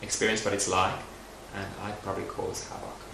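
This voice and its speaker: Background noise is noticeable and the room echo audible while a man talks. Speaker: makeup artist and beauty writer. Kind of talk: documentary interview. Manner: reflective.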